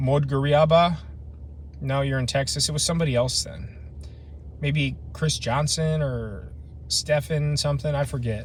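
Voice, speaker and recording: A man with a Midwestern American accent at a moderate pace, long, frequent pauses and audible room echo. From Ohio, US Midwest. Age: 30s. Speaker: camping vlogger. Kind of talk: casual live stream chat. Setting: outdoors, truck camping in the wilderness.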